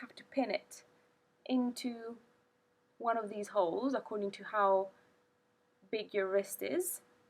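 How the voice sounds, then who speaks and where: A woman speaks with a non-native accent at a moderate pace. Her pitch is fairly high, with ordinary variation. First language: not English. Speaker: product reviewer. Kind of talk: product review. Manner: halting.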